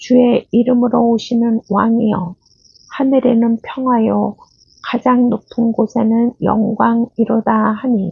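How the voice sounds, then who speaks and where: A woman speaks very slowly in a calm tone with fairly high pitch. Her intonation is monotone and flat, and her loudness stays very even. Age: old. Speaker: Bible reader. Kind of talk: scripture reading. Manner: calm, slow.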